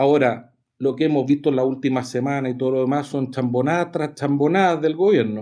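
Talking at a fairly quick pace, a man with a fairly high pitch and a dark, mellow tone keeps his intonation fairly even. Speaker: political activist, former party vice president. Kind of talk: radio interview.

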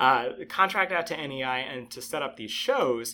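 A man with an American accent uses an ordinary speaking voice at medium pitch, with lively intonation. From Connecticut (Bridgeport, Trumbull). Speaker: zookeeper. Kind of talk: interview. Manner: casual, with frequent fillers.

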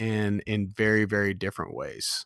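A man with a normal speaking voice talks at a fairly slow pace in a fairly low pitch, with an American accent. The sound is dry and close with no echo, on a very clean recording with a silent background. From Southern California. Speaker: podcast host and amateur triathlete. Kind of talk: casual chat.

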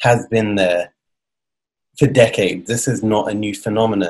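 A man's medium-pitched voice at a moderate pace. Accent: British. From Britain. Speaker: podcast host. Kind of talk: interview.

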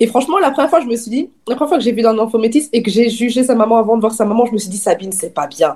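This woman's fairly high voice moves at a very fast pace. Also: lively intonation, hardly any pauses. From Belgium, Namur region (Wallonia). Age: 20s. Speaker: magazine founder and editor. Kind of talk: casual chat.

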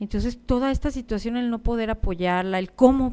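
A woman speaks at a moderate pace with a dark, mellow tone. Her tone is serious and her intonation lively. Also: very clean recording, silent background. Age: 50s. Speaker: life coach and podcast host. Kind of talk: personal monologue. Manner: somewhat serious.

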